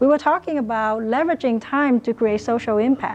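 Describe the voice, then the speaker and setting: Her tone is dark and mellow, and she speaks with a Vietnamese accent. The woman's pitch variation is ordinary. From Vietnam, then Riverside, California. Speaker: dentist and business coach. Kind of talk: motivational talk. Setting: lecture room with student audience.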